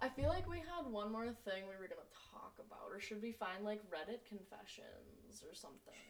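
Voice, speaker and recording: Speaking fairly quickly with an American accent, a woman shows big swings in loudness over noticeable background noise. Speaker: podcast co-host. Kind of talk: casual chat. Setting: home recording with laptop. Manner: animated.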